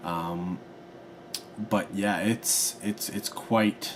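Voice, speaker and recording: Mumbling at a very slow pace, a man speaks with a fairly low pitch over noticeable background noise. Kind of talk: casual film review vlog to camera. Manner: hesitant, mumbling with fillers.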